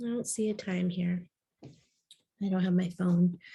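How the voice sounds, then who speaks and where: Somewhat breathy, the woman's voice carries a dark, mellow tone. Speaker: naturopathic integrative oncology doctor. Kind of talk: health lecture to audience. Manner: casual, conversational.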